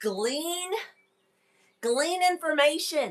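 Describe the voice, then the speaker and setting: A woman's voice comes across with a bright, sharp tone and an animated delivery. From Kentucky. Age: 40s. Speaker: wellness podcast host. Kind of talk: casual live stream chat. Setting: live stream with headset microphone.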